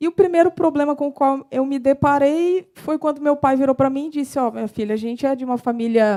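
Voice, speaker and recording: With a strong São Paulo interior accent, a woman speaks at a fairly quick pace in a high-pitched voice with a dark, mellow tone, recorded with a dry, close sound and no echo. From interior of São Paulo state, Brazil. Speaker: civil engineer and financial consultant. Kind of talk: short talk to an audience.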